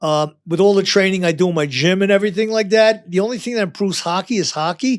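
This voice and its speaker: With a New York accent, the speaker rushes at a very fast pace with hardly any pauses and ordinary pitch variation, on a very clean recording with a silent background. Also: man, high pitch for a man. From New York, Long Island. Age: 70s. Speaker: retired firefighter. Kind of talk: casual chat.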